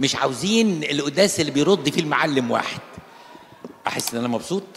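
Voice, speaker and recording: A man with an Egyptian accent speaks in an animated tone with lively intonation over noticeable background noise. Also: fairly high pitch for a man, moderate pace. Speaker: Coptic Orthodox priest. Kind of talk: sermon. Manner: animated, conversational.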